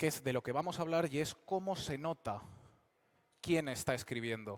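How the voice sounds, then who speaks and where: At a moderate pace, a man talks in a fairly high pitch with ordinary pitch variation, the sound dry and close with no echo. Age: 20s. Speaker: fantasy novelist and speaker. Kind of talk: public talk at a convention. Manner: hesitant with fillers.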